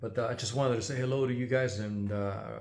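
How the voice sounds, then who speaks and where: A man talking at a fairly quick pace, with audible room echo. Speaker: GPU repair technician and YouTuber. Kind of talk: casual channel update. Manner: halting, many filler words.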